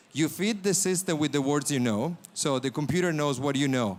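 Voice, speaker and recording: Recorded very cleanly against a silent background, a man with an Italian accent speaks with ordinary pitch variation. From Italy. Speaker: startup founder.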